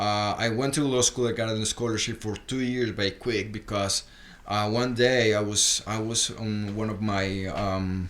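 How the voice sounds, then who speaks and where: A man with a Spanish accent speaks fairly slowly, his fairly low pitch held in fairly even intonation. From Colombia, Bogota. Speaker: rockabilly guitarist. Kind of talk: casual podcast interview. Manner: halting, many repetitions and fillers.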